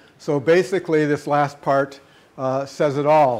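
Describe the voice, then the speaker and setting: Fairly even intonation from a man with fairly high pitch, at a moderate pace. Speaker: professor. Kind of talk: lecture. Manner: soft-spoken; halting.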